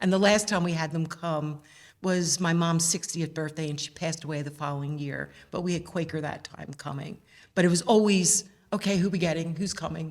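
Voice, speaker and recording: A woman with a Philadelphia accent speaks at a fairly quick pace in a fairly low voice, her intonation fairly even. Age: 60s. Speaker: mother of a band captain. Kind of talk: interview. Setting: museum.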